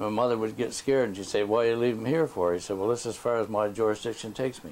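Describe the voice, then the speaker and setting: A man talks at a fairly quick pace with a Nova Scotian accent and fairly even intonation. Noticeable background noise sits behind him. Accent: rural Nova Scotian. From Nova Scotia, Digby area. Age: 70s. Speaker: elder interviewee. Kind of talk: oral history interview. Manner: halting.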